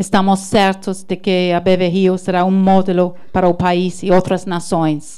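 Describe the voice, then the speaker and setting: Speaking at a fairly slow pace with hardly any pauses, a woman with an English accent has a dark, mellow tone, medium pitch, and monotone, flat intonation. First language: English (speaking Portuguese). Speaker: diplomat, consul general. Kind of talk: prepared ceremony speech. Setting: launch ceremony with audience, livestreamed. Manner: halting, stumbles on words.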